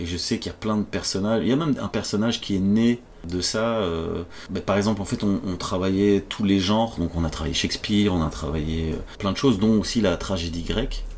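Noticeable background noise sits behind a man's fairly low voice. He talks at a fairly quick pace, with ordinary pitch variation. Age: 40s. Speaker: comedian. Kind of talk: casual chat. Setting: at home.

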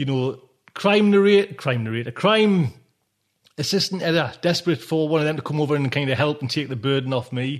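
Against a quiet background, a man with a Geordie accent talks at a fairly high pitch in an animated tone with lively intonation. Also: fairly quick pace. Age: 40s. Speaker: podcast host. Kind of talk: casual monologue. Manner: rambling, animated.

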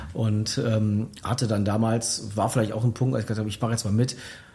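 At a fairly quick pace, a man speaks in a somewhat breathy voice with a dark, mellow tone. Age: 40s. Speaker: former district mayor, author. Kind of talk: radio interview. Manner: many fillers, hesitant.

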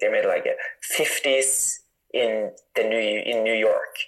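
A man with a Norwegian accent. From northern Norway (Tromsø). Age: 20s. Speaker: mountain runner. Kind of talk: interview.

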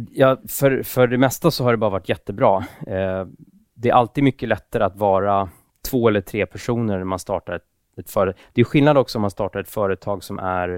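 With a very clean recording and a silent background, a man of fairly low pitch speaks at a fairly quick pace with ordinary pitch variation. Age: 30s. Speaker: tech entrepreneur. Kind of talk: casual interview. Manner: hesitant.

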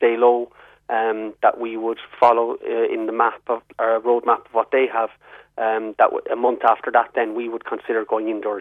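With a southwest Irish accent, a man speaks at a moderate pace in a medium pitch, his intonation monotone and flat. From Ireland, southwest. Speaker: publicans' representative. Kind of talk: radio interview.

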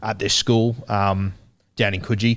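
A man with an Australian accent, fairly low pitch, fairly even intonation and a moderate pace. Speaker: rugby league podcaster. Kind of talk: casual interview chat. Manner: halting, stuttery.

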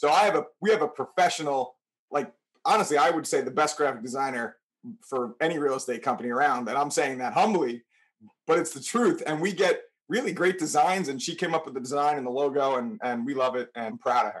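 A man with a plain, everyday voice and an American accent talks at a fairly quick pace, fairly high in pitch with lively intonation. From New Milford, Connecticut, US. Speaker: realtor. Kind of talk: interview.

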